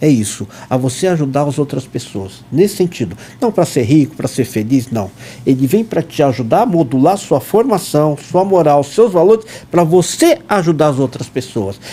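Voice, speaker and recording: A man speaks at a moderate pace. His fairly high voice swings very widely in pitch. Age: 60s. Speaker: dentist and scout leader. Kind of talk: podcast interview.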